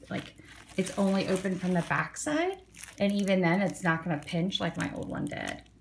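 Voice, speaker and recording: A woman's medium pitch with ordinary pitch variation, at a moderate pace. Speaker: forearm crutch user with chronic illness. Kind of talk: casual unboxing talk to camera. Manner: upbeat, chatty.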